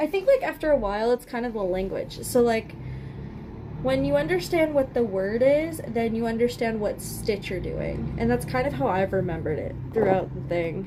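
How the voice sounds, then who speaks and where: Over noticeable background noise, a woman with a Canadian accent speaks at a medium pitch with very wide pitch swings. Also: moderate pace. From Canada. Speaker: livestreamer crafting. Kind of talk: casual livestream chat while crocheting. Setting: live stream with chat.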